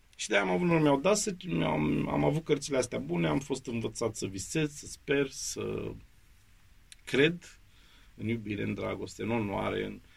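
A man speaks at a moderate pace, his voice making very wide pitch swings. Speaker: actor and drama school head. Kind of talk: interview. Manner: animated.

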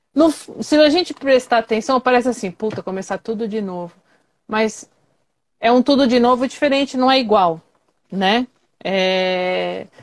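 The speaker goes at a fairly slow pace with lively intonation and long, frequent pauses. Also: woman, fairly high pitch for a woman. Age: 40s. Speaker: live show host. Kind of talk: casual chat. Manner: animated.

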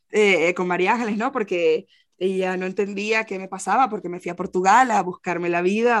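Fairly quick in pace, the speech shows ordinary pitch variation. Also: woman. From Venezuela. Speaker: poet and translator. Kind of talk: interview. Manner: halting.

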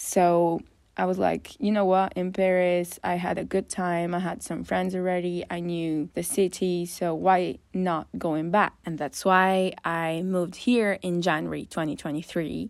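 A woman speaks in a fairly low pitch at a fairly slow pace. Her intonation is fairly even, with hardly any pauses. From Northern Italy. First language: Italian. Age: 20s. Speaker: podcast host. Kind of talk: casual monologue. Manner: rambling.

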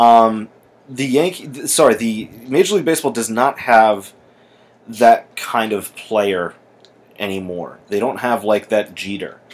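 Speaking fairly slowly, a man uses a plain, everyday voice at a medium pitch with ordinary pitch variation. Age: 20s. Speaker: sports podcast host. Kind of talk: casual chat. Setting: indoors with TV on.

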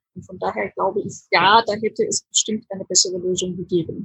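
A woman speaks at a moderate pace in a bright, sharp tone, recorded with a dry, close sound and no echo. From Germany. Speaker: hospital doctor. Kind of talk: casual chat.

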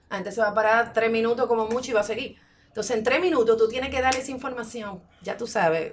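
A woman talks at a very fast pace. She speaks in a Dominican accent. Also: fairly high pitch for a woman, ordinary pitch variation. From Dominican Republic. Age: 40s. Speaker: muralist and art teacher. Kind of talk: interview.

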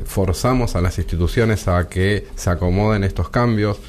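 Background noise is clearly audible. Through it comes a man's voice. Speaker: judge. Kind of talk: radio interview.

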